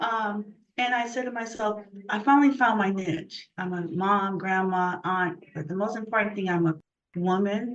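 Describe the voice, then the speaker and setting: A woman talks at a moderate pace and medium pitch. Her pitch varies in an ordinary way. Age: 60s. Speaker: artist. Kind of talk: interview. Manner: animated.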